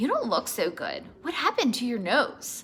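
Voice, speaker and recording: A woman puts on a character voice, pitched high. She keeps a moderate pace. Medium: read story.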